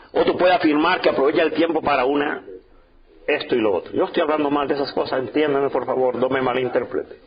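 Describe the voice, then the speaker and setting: A man talks at a very fast pace with a fairly high pitch and an animated tone. His loudness stays very even despite noticeable background noise. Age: 60s. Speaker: pastor. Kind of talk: sermon.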